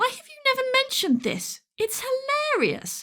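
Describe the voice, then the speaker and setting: This is a put-on character voice that sounds squeaky. It moves at a moderate pace. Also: woman, extremely high pitch for a woman. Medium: read story. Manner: wry, teasing.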